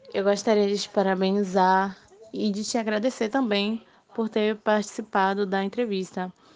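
This woman keeps a medium pitch and monotone, flat intonation, talking at a moderate pace. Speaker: student interviewer. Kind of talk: interview.

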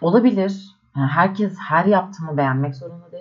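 A woman's normal speaking voice, fairly low, fairly quick and with lively intonation. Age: 20s. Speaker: podcaster. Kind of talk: solo reflective monologue. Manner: casual, conversational.

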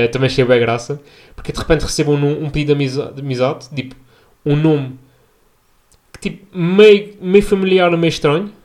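A fairly high-pitched male voice with a European Portuguese accent. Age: 20s. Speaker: podcast host and medical intern. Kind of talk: casual solo podcast monologue. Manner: relaxed.

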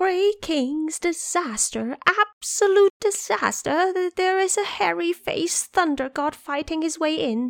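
This is a put-on character voice at an extremely high pitch. It moves at a fairly slow pace with hardly any pauses. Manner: alarmed, urgent.

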